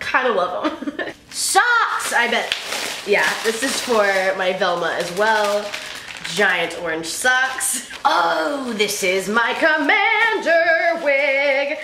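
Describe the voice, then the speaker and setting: A woman uses a raised, projected voice at a very slow pace. Audible room echo and light background noise are present. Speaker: cosplay vlogger. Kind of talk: casual vlog chat. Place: home room. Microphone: camera far.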